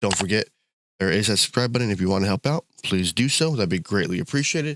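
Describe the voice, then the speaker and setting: A man's fairly low voice at a very fast pace, with lively intonation, on a very clean recording against a silent background. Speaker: gaming YouTuber. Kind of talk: game commentary video. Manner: casual, with fillers.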